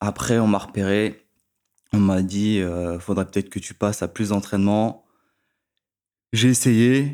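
A man's fairly low-pitched voice with a dark, mellow tone, fairly even intonation, a fairly slow pace and long, frequent pauses. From France, Créteil (Paris suburbs). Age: 20s. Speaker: former pro swimmer and swim coach. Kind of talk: casual chat. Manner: direct.

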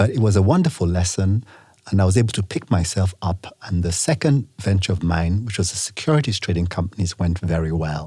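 A man with a very deep, low pitch speaks at a fairly quick pace with ordinary pitch variation. His tone is dark, mellow and somewhat breathy on a very clean recording with a silent background. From Nigeria. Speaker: businessman. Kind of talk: interview.

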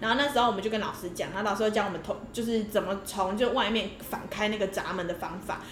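Amid noticeable background noise and audible room echo, a woman talks very fast at a fairly high pitch with hardly any pauses and ordinary pitch variation. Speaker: podcast co-host. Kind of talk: casual chat.

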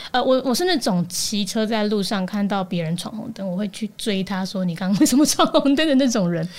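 Somewhat breathy and medium-pitched, a woman talks at a fairly quick pace with lively intonation and hardly any pauses. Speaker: news podcaster. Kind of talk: casual chat.

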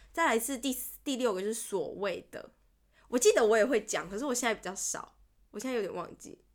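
An animated, high-pitched woman's voice at a fairly quick pace. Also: lively intonation. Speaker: podcast co-host. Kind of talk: casual chat. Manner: animated, laughs often.

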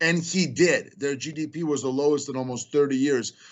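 Speaking at a moderate pace, a man with a fairly high pitch shows ordinary pitch variation. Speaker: political campaign adviser. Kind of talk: political talk show interview. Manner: animated.

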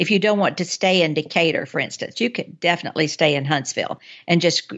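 A woman speaks at a fairly quick pace with an Alabama accent. Her pitch varies in an ordinary way. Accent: US Southern (Alabama). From North Alabama (Athens). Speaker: travel book author. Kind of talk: casual interview.

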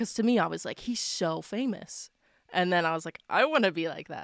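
A woman with an unremarkable speaking voice talks at a moderate pace and fairly low pitch with ordinary pitch variation, in a dry, close sound with no echo and a very clean recording with a silent background. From Nova Scotia, Canada. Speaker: singer-songwriter. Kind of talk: casual interview chat.

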